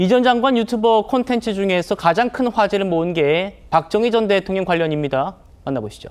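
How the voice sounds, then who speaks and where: A man with a high voice talks fairly quickly, his pitch varying in an ordinary way. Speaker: news show host. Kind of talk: TV news talk show presenting.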